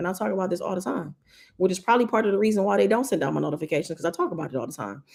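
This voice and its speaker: A woman speaks in a medium pitch with an animated tone and lively intonation. Vocal fry runs through her voice. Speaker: YouTube creator, live streamer. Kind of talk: casual livestream chat reading viewer comments. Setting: live stream.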